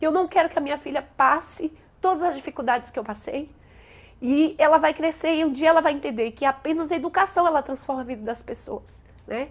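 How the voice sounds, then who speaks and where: Ordinary pitch variation and a fairly quick pace, with a northeastern Brazilian accent. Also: woman, high pitch for a woman. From Brazilian Northeast, Bahia–Minas border. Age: 30s. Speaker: teacher. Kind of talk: interview testimony.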